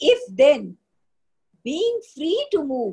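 A woman with a dark, mellow tone makes very wide pitch swings against a quiet background. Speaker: teacher leading text study. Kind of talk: lecture. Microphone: webcam.

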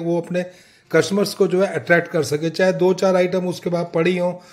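Against a quiet background, a man with a high pitch speaks at a moderate pace in a monotone, flat intonation. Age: old. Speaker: gardening YouTuber. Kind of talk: tutorial. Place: home room. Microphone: phone near.

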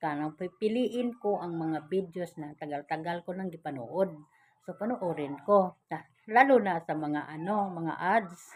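With an unremarkable speaking voice, a woman talks at a fairly slow pace in a fairly low pitch, showing ordinary pitch variation and big swings in loudness. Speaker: vlogger. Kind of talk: casual vlog talk to viewers. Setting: indoors at home.

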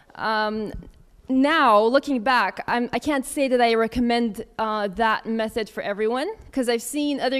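With an American accent, a woman speaks at a moderate pace in a clear, smooth tone with fairly even intonation.

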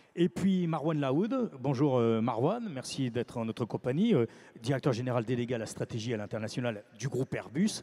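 A man's medium-pitched voice, fairly quick and lively in intonation, with few pauses and a dark, mellow tone.

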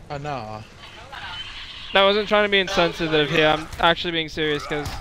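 A man with a fairly high pitch and ordinary pitch variation is heard dry with no echo, over noticeable background noise. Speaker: gaming YouTuber recording multiplayer session. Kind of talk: casual gaming chat. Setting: online game voice chat.

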